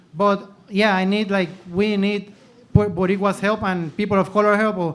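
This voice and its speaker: A high-pitched man speaking at a moderate pace. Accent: Spanish. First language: Spanish. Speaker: audience member asking a question. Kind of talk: Q&A comment at panel event. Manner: halting, code-switching.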